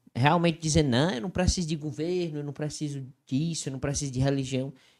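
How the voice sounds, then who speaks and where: Speaking in a Cearense accent, a man talks at a fairly quick pace. His voice is fairly high, with fairly even intonation. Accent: Cearense Brazilian Portuguese. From Ceará, northeastern Brazil. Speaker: Bible study podcast co-host. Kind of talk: casual Bible discussion.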